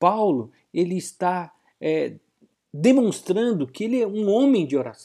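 With a high pitch, lively intonation and a dark, mellow tone, this man talks at a fairly slow pace. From Brazil, Bahia (Vitória da Conquista). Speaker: pastor. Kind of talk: radio sermon.

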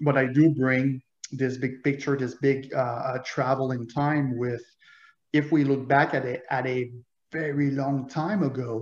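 A man talks at a fairly slow pace with a French Canadian accent. His intonation is monotone and flat. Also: medium pitch for a man. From Quebec, Montreal. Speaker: author and loss prevention manager. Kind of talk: interview conversation. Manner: halting.

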